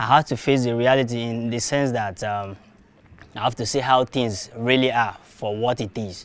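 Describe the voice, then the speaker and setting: The speaker has a Nigerian accent. Their pace is moderate and their intonation fairly even. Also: man, medium pitch for a man. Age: young. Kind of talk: interview answer.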